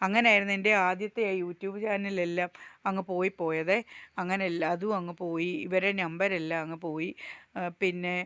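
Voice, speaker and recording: Medium-pitched woman's voice, a normal speaking voice, fairly even in intonation, with dry, close sound with no echo and a very clean, silent background. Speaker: village life vlogger. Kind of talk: casual vlog narration.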